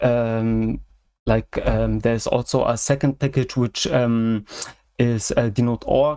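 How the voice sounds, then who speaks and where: Speaking very slowly in a German accent, a man keeps a medium pitch, a flat monotone intonation, very even loudness and a dark, mellow tone. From Germany. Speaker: software hobbyist. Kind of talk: casual chat. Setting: video call livestream. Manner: halting, many fillers.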